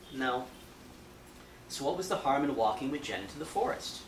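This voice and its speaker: A man speaking at a fairly quick pace amid noticeable background noise. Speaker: novelist. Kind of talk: live fiction reading. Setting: bookstore reading event.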